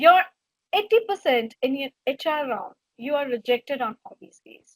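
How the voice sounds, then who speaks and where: A woman with a Gujarati accent speaks at a moderate pace in a high voice, with very wide pitch swings and big swings in loudness. The sound is dry and close, with no echo. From India (Gujarati background). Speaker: HR trainer / career coach. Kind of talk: webinar lecture.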